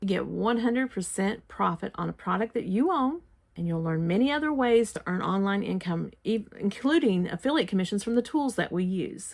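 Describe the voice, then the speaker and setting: A woman with an unremarkable speaking voice talks at a medium pitch and a fairly quick pace, with hardly any pauses. Her intonation is lively. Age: 60s. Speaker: online marketing vlogger. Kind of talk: sales pitch. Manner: folksy, earnest.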